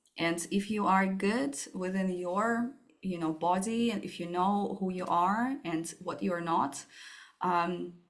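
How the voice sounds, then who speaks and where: A woman with a Russian accent at a very slow pace, with ordinary pitch variation. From Russia, Moscow. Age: 30s. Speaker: startup founder. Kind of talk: interview.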